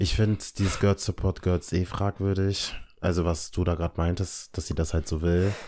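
A man with a very deep, low, dark and mellow voice speaks at a moderate pace in a flat monotone. Loudness stays very even in a very clean recording with a silent background. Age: 20s. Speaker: podcast host. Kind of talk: casual chat. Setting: recording in his apartment.

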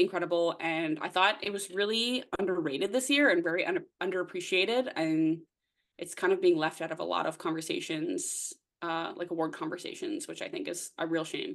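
A woman with a Canadian accent and an ordinary speaking voice, fairly low in pitch with ordinary pitch variation, at a moderate pace over a quiet background. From Nova Scotia, eastern Canada. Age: 20s. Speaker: podcast co-host. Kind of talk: casual chat.

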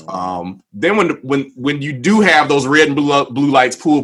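An ordinary speaking voice proceeds at a moderate pace. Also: man. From Waukegan, Illinois. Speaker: community discussion host. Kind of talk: livestream panel discussion.

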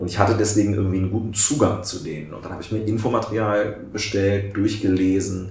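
A man with a fairly low pitch talks very fast with fairly even intonation and big swings in loudness. Audible room echo and noticeable background noise fill the recording. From southern Lower Saxony, Germany. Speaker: member of parliament. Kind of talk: casual interview.

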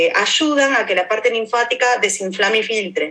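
There is noticeable background noise as a woman talks in an Argentine accent. Her pace is fairly slow and her intonation lively. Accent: Rioplatense Argentine Spanish. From Argentina. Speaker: activist and educator. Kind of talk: interview conversation.

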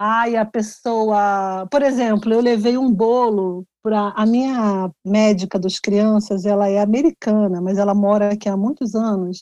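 This woman has a fairly high pitch, a dark, mellow tone and ordinary pitch variation. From Rio de Janeiro, Brazil. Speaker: journalist and author. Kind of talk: interview.

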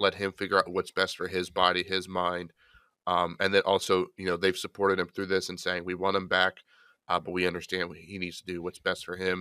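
A man's very deep, low voice carries a bright, sharp tone in a dry, close recording with no echo. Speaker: fantasy football podcast co-host. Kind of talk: casual chat. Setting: remote recording.

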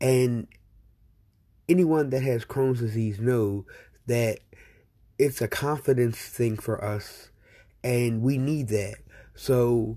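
Very slowly and with fairly even intonation, a man speaks at a medium pitch in a dark, mellow, somewhat breathy tone on a very clean recording with a silent background. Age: 40s. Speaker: podcast host living with Crohn's disease. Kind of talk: personal monologue podcast.

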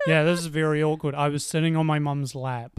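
A man speaks at a fairly quick pace with fairly high pitch and monotone, flat intonation. The recording is very clean, with a silent background. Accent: New Zealand. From New Zealand, Auckland. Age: 20s. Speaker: podcast co-host. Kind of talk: casual chat.

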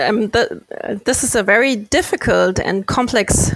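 A woman with a German accent speaks at a very slow pace and a fairly high pitch. The sound is dry and close, with no echo. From Germany, near Frankfurt. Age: 20s. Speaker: sustainability consultant and company co-founder. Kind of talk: interview. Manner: halting, many fillers and repetitions.

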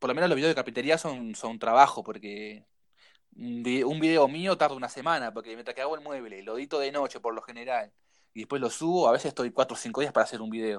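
A man talks at a very fast pace in a Uruguayan accent, with big swings in loudness. The recording is very clean, with a silent background. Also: medium pitch for a man, ordinary pitch variation. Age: 30s. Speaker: woodworking youtuber. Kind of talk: casual chat.

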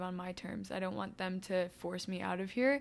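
Intonation stays monotone and flat in this voice with an American accent. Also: woman. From Indiana, US Midwest. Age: 20s. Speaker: former ballet dancer, university student. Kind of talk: interview. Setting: in-person recording.

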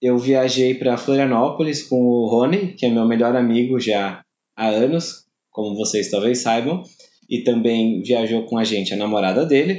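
A man with an ordinary speaking voice at a medium pitch and a moderate pace. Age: 20s. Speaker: podcast host. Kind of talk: personal letter read to listeners.

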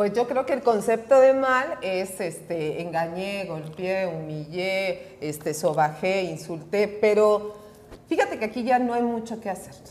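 With a Mexican accent, a woman speaks at a fairly slow pace with lively intonation over noticeable background noise. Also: medium pitch for a woman. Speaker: recovery speaker and counselor. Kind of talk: casual chat.

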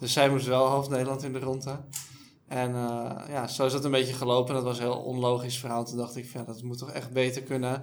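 A man speaks in a flat, monotone way. His voice carries audible room echo. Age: 30s. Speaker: startup co-founder. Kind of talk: interview.

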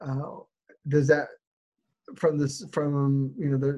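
This man has a fairly high pitch and a dark, mellow tone. He is somewhat breathy and speaks with an American accent. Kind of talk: casual interview questions. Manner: halting, self-correcting.

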